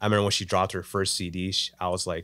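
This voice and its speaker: A man's very deep, low voice at a very fast pace, with flat monotone intonation. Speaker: filmmaker and photographer. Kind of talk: casual chat. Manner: halting.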